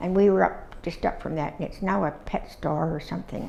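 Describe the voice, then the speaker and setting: Her voice fairly low and marked by vocal fry, a woman speaks with a Canadian accent amid audible room echo. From Ontario, Canada (Dundas area). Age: 80s+. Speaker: oral history interviewee. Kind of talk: oral history interview. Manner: halting, with many fillers.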